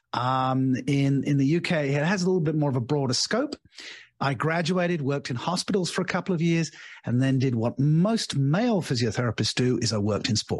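This man has an English accent and a somewhat breathy, fairly high voice, talking at a fairly quick pace with lively intonation and very even loudness. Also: quiet background. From England. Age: 60s. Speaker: leadership coach and author. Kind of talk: interview.

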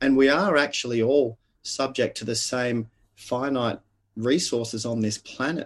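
Talking at a fairly slow pace, a man with an Australian accent has a medium pitch and ordinary pitch variation. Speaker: leadership coach and author. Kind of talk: interview conversation.

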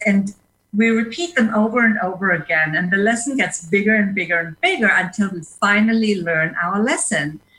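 A woman speaks with a non-native accent and a bright, sharp tone. Her pitch varies in an ordinary way. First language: not English, speaks five languages. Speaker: leadership coach and speaker. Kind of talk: interview. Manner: hesitant fillers (uh).

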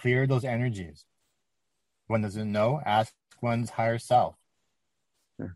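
This man speaks at a medium pitch and a fairly slow pace, with fairly even intonation and long, frequent pauses. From Canada. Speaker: channeler. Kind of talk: channeled message. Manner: formal.

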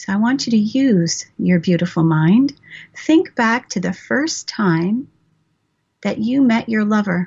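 The voice is somewhat breathy, with a warm, playful tone, lively intonation and a fairly slow pace. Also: woman, fairly high pitch for a woman. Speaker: radio host and author. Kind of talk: guided meditation and sensual relaxation exercise; live radio talk show. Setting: radio studio show with call-ins. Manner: slow, soothing, sensual and coaxing, with pauses; warm, playful and animated.

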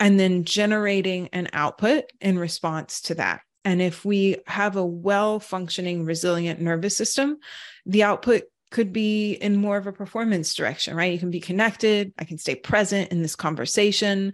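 A woman speaks in a plain, everyday voice at a moderate pace and medium pitch, with ordinary pitch variation. The recording is very clean, with a silent background. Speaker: wellness founder, podcast co-host. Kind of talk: radio interview.

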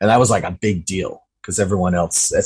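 This somewhat breathy voice, with an American accent, moves at a fairly quick pace. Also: man. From US, Utah. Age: young. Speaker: filmmaker. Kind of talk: interview about personal trauma.

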